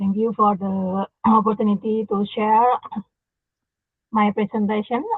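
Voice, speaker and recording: Speech comes at a fairly slow pace. The speaker has an Indonesian accent. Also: woman. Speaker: university dean and health researcher. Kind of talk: conference presentation. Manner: halting, many fillers.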